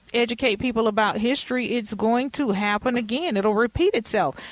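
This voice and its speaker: A woman with a normal speaking voice talks at a moderate pace, her fairly high pitch showing ordinary variation. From Texas. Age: 40s. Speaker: podcast host. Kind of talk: interview.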